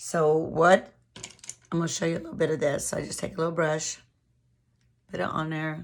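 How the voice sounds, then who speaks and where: A woman with a very deep, low pitch talks at a fairly quick pace in a monotone, flat intonation, with big swings in loudness and long, frequent pauses. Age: 60s. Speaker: beauty vlogger. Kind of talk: casual product review monologue. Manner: casual, with hesitations.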